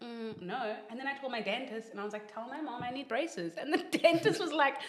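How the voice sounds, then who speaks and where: A woman talks in an animated tone at a fairly quick pace, her pitch swinging very widely. Noticeable background noise sits behind her. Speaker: social media influencer. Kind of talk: casual chat.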